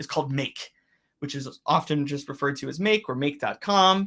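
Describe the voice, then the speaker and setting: Bright and sharp in tone, a man's voice moves at a fairly quick pace with ordinary pitch variation. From Pennsylvania, near Scranton. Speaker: systems engineer presenting Slack tools. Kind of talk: webinar presentation with demo. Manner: fast.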